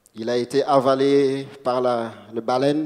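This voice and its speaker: A man speaking at a medium pitch. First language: not French (speaking French). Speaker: preacher. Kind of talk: sermon. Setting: church. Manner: halting.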